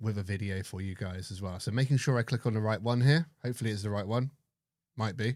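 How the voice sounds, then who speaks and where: Someone with an English accent talks at a very fast pace with ordinary pitch variation, on a very clean recording with a silent background. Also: man, fairly low pitch for a man. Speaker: live stream host for metal detecting. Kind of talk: casual live stream chat. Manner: soft-spoken.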